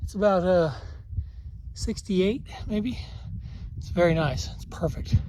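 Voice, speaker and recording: Big swings in loudness mark this man's fairly slow speech, which has long, frequent pauses and audible room echo. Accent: American. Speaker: hiking vlogger. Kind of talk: casual vlog narration. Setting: outdoors on a mountain trail. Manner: hesitant, many fillers.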